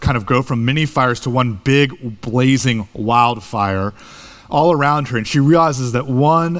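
Ordinary pitch variation marks an unforced reading voice here.

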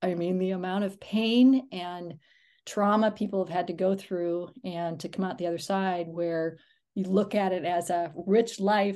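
Against a quiet background, a woman with an unremarkable speaking voice talks at a fairly slow pace in a medium pitch with fairly even intonation. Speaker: podcast host. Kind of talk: interview conversation.

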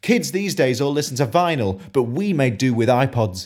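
A man with a British accent is heard on a very clean recording against a silent background. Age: 20s. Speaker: spoken word poet. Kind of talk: spoken word poetry performance.

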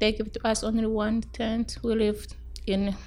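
Speaking at a fairly slow pace with an East African accent, a woman uses a fairly high, somewhat breathy voice in flat, monotone intonation. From Tanzania. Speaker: refugee. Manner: halting limited English.

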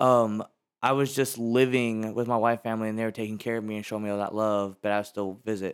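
A man with an American accent talks at a fairly quick pace in a fairly low pitch, on a very clean recording with a silent background. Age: 20s. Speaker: podcast guest, social media and sales worker. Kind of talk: casual chat. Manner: animated.

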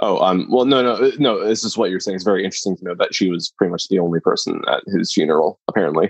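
Talking at a very fast pace with hardly any pauses, a man is heard in a dry, close sound with no echo. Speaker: podcast co-host, film discussion. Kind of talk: casual chat. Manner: hesitant, filler-heavy.

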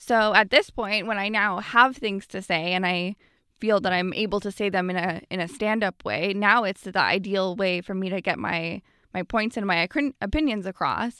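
A woman talks in a Canadian accent with a bright, sharp tone. The recording is very clean, with a silent background and a dry, close sound with no echo. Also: medium pitch for a woman, ordinary pitch variation, moderate pace. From Canada, Ottawa. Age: 20s. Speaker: comedian. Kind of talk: casual chat.

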